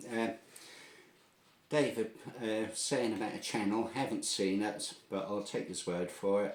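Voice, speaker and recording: The speaker goes at a fairly slow pace in a strong Norfolk accent. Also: man. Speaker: air gun tutorial video maker. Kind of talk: tutorial. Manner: casual, hesitant with fillers.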